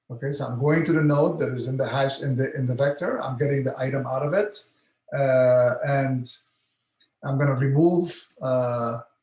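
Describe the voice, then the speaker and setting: Here a man speaks at a moderate pace with fairly even intonation and fairly high pitch. Audible room echo surrounds his voice. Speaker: university lecturer. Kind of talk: lecture. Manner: halting, many fillers.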